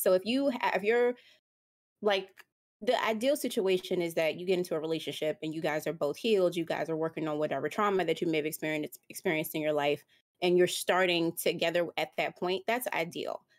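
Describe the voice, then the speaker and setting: This is a normal speaking voice with ordinary pitch variation, delivered at a fairly quick pace. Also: woman, fairly low pitch for a woman. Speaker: podcast co-host. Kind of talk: casual chat.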